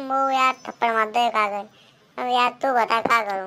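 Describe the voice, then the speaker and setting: A man's put-on character voice, extremely high-pitched, fairly quick, with fairly even intonation. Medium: comedy sketch. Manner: loud, rustic Haryanvi-style banter.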